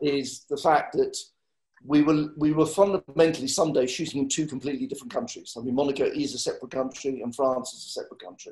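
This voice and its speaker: Talking at a very fast pace with big swings in loudness, a man speaks with an English accent. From England. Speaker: film line producer. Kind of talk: panel discussion.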